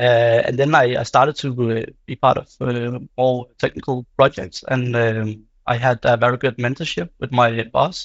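A man with an unremarkable speaking voice, medium in pitch, fairly even in intonation, at a fairly slow pace with hardly any pauses. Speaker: product owner. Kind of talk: panel discussion.

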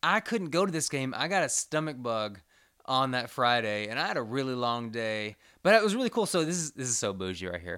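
In a very clean recording with a silent background, a man speaks at a fairly quick pace in a bright, sharp tone with very wide pitch swings. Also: medium pitch for a man. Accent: American. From Commerce, Texas. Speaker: sports podcast host. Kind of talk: casual chat.

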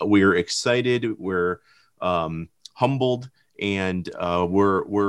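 With an American accent, a plain, everyday voice moves at a fairly slow pace with ordinary pitch variation. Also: man. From Michigan. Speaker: filmmaker. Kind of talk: podcast conversation.

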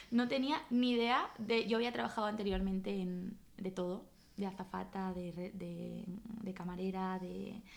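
In an ordinary speaking voice, a woman speaks at a medium pitch with fairly even intonation. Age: 20s. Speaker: restaurant owner. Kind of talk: interview.

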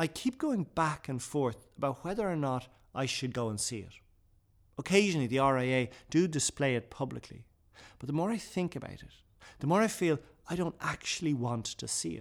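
A man talks at a fairly quick pace, fairly high in pitch, with lively intonation. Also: very clean recording, silent background. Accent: Irish. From Ireland. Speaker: author and broadcaster. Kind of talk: interview; reading aloud. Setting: in a building, in person.

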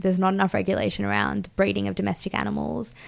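A woman speaks with an Australian accent. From Fiji-born, Indian family, raised in Australia. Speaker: feminist writer and editor. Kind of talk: radio interview. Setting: radio studio.

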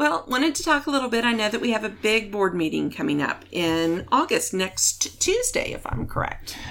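A woman keeps talking at a moderate pace, barely pausing, against noticeable background noise. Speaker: podcast host. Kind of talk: casual interview.

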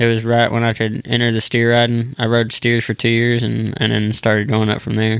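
A man with a Texan accent speaks at medium pitch in a monotone, flat intonation with very even loudness. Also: fairly quick pace. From Texas (small town near Dallas). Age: 20s. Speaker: professional bull rider. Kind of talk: casual interview.

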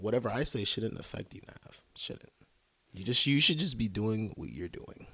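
Here a man speaks at a medium pitch and a moderate pace, in a bright, sharp tone. His intonation is lively, and his loudness swings widely. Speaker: music reviewer. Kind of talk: casual chat. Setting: studio.

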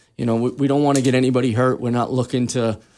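In a very clean recording with a silent background, a man with a New York accent talks fairly quickly in a dark, mellow tone with fairly even intonation. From Queens, New York. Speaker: personal trainer, retired police detective. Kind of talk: casual radio interview. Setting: radio studio.

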